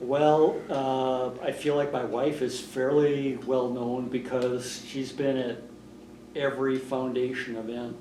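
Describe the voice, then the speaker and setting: In a room with audible echo, a man with a medium pitch talks very slowly in a flat monotone, leaving long, frequent pauses. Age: 60s. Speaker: retiring foundation director, former newspaper editor. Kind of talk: oral history interview.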